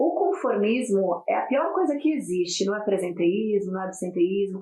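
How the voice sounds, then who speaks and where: Here a woman talks with a non-native accent. Her voice sits at a medium pitch. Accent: foreign accent in Portuguese. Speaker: corporate wellbeing speaker. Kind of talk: podcast interview.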